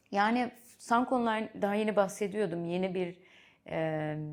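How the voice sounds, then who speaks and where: Speaking at a moderate pace in a Dutch accent, a woman with a medium pitch uses lively intonation. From Netherlands. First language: Dutch (speaking Turkish). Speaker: venture capital investor. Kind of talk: interview. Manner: halting, with fillers.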